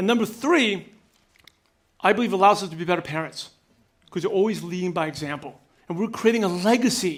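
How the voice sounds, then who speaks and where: A man's high-pitched voice at a fairly quick pace, broken by long, frequent pauses. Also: ordinary pitch variation. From New York (Brooklyn). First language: not English (English is third language). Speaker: business coach and speaker. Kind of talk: keynote speech. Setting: stage with audience. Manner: fast; energetic, direct.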